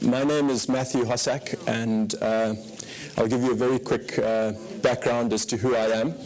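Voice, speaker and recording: Speech at a moderate pace with fairly even intonation comes through noticeable background noise. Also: man. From Zimbabwe. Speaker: fund manager. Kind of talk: conference presentation. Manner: hesitant, many fillers.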